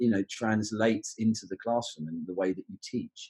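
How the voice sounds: A man with a London accent speaks at a fairly low pitch, with a slightly husky edge. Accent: southern English, London area.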